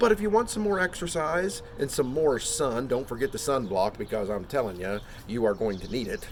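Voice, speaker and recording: Over noticeable background noise, a man with an American accent speaks loudly and fairly quickly at a medium pitch with very wide pitch swings. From Pennsylvania, Hershey area. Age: 50s. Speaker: amateur sports enthusiast vlogger. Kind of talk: enthusiastic promotional monologue. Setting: outdoors on front porch. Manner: animated.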